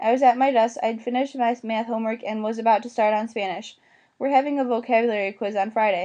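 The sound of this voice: The reading voice is unforced. Intonation holds fairly even.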